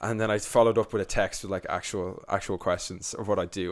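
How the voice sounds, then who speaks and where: A man's fairly low voice with a Dublin accent at a very fast pace, on a very clean recording with a silent background. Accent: Dublin Irish. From Ireland, Dublin. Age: 20s. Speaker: youtuber. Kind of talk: podcast interview. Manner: animated.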